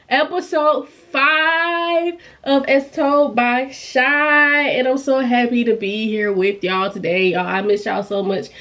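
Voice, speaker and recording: A bright, sharp tone with lively intonation at a fairly slow pace. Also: woman. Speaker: YouTuber, pop culture commentator. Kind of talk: casual chat. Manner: animated.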